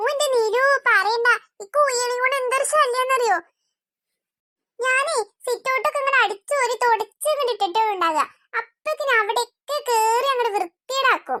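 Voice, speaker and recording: A cartoonish character voice comes at a moderate pace with very even loudness and a dry, close sound with no echo. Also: woman, extremely high pitch for a woman, ordinary pitch variation. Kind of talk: comic cartoon voice acting. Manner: chatty, gossipy.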